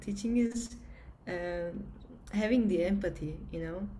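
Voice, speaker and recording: In a Turkish accent, a woman speaks at a fairly slow pace with a medium pitch and fairly even intonation, with audible room echo and noticeable background noise. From Turkey. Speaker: entrepreneur, former engineer and pilot. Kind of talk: conference interview. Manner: halting, many fillers.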